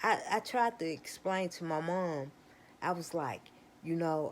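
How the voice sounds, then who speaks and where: Speaking very slowly, a woman delivers her words. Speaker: vlogger. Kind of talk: casual monologue. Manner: slurred speech; halting, repetitive.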